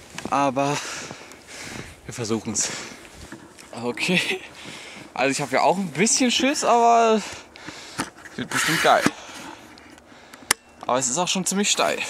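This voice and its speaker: With long, frequent pauses, a man speaks in a dry sound with no echo over noticeable background noise. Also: moderate pace. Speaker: travel vlogger. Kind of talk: casual vlog chat. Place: open country. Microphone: phone near.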